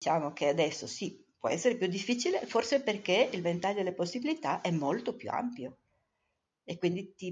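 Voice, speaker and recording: Here is a woman with an ordinary speaking voice and a fairly low pitch. She talks at a moderate pace with lively intonation. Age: 60s. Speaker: mother of the co-host. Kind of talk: casual interview.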